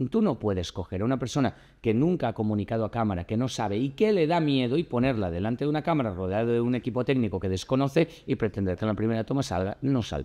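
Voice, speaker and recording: A man with a dark, mellow tone and a medium pitch speaks at a very fast pace with lively intonation and hardly any pauses, over a quiet background. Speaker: actor and communication coach. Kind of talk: casual chat. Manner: loud.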